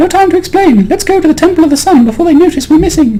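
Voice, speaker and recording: Squeaky and at extremely high pitch, a man does a put-on character voice at a very fast pace amid clear background noise. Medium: game stream.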